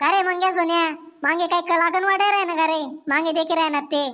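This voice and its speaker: In a squeaky, cartoonish character voice, a woman speaks at an extremely high pitch and a moderate pace. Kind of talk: comic cartoon dialogue. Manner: scolding, self-important.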